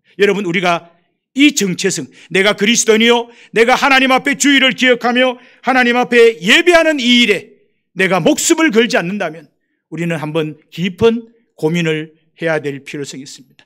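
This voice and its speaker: Raised and projected, a man's high-pitched voice has a bright, sharp tone, very wide pitch swings, and big swings in loudness at a moderate pace. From Gyeongsang Province, South Korea. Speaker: missionary. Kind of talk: sermon.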